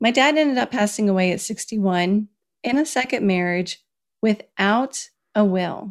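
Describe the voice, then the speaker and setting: An ordinary speaking voice with an American accent moves at a moderate pace. Loudness stays very even, and pitch varies in an ordinary way. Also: woman, fairly high pitch for a woman. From US South, Kentucky. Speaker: personal finance author. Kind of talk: interview. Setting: video call.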